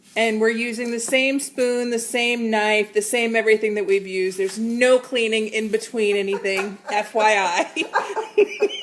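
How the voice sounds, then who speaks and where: A woman talks at a fairly slow pace with ordinary pitch variation. Noticeable background noise can be heard. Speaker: cooking show host. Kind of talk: casual livestream chat.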